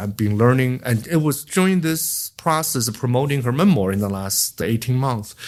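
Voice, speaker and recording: A man with a Chinese accent speaks at medium pitch and a moderate pace. He leaves hardly any pauses. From China. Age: 60s. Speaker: memoir author. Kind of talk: podcast interview. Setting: in-person interview. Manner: halting.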